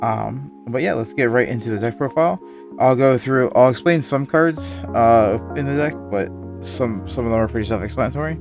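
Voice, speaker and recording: With music in the background, a man at medium pitch speaks at a moderate pace, his pitch swinging very widely. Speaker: card game content creator. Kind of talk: casual talk to camera.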